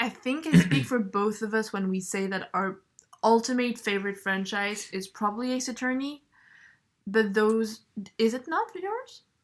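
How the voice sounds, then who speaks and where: A woman with a strong French accent speaks at a moderate pace. Her fairly high voice has ordinary pitch variation. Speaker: podcast co-host. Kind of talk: casual chat.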